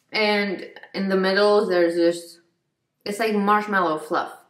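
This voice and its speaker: A woman talks against a quiet background. Room echo is audible. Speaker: vlogger. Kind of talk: casual vlog chat, snack taste test. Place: kitchen. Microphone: phone near.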